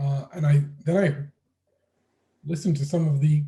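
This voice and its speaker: Moderate pace and a fairly high pitch for a man, with a dark, mellow, somewhat breathy tone and ordinary pitch variation. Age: 60s. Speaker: professor and moderator. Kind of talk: webinar interview. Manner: halting.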